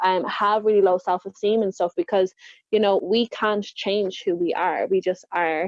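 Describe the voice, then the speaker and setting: At a moderate pace, a woman speaks with an Irish accent. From Ireland. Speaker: confidence coach. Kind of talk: podcast interview.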